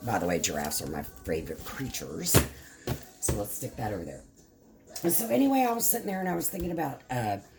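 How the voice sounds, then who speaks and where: Speaking very fast with an American accent, a woman leaves long, frequent pauses against noticeable background noise. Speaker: craft vlogger. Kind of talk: casual chat.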